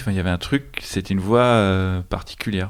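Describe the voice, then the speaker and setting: A man's ordinary speaking voice, fairly low in pitch with ordinary pitch variation and a fairly quick pace, in a very clean recording with a silent background. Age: young. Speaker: film director. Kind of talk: casual chat.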